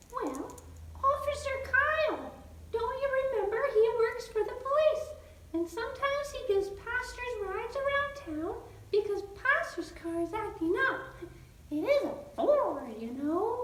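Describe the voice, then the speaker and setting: A female-sounding cartoonish character voice speaks at an extremely high pitch and moderate pace. A slight echo surrounds it. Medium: puppet. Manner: calm, patient.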